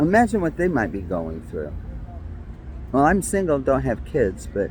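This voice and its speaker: A man with a New York accent at a moderate pace. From New York City (Brooklyn). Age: 60s. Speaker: vlogger. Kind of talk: personal monologue.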